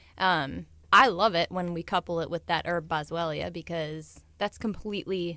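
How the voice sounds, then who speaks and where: Speaking with an American accent, a woman uses a normal speaking voice at a moderate pace with fairly even intonation. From US Midwest, St. Louis, Missouri. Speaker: chiropractor. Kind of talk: radio interview.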